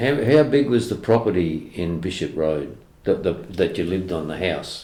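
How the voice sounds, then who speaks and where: This man has a very deep, low pitch and an Australian accent. His tone is dark and mellow, and his pitch swings very widely. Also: moderate pace. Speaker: oral history interviewer. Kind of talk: interview questions.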